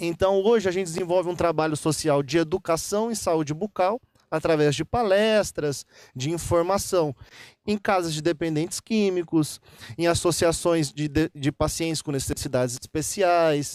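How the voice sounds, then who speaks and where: On a very clean recording with a silent background and a dry, close sound with no echo, a high-pitched man with a Minas Gerais accent speaks at a moderate pace with ordinary pitch variation. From Minas Gerais, Brazil (Guaxupé). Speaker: dentist. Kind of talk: interview. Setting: golf club venue. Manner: clear; halting, with repetitions.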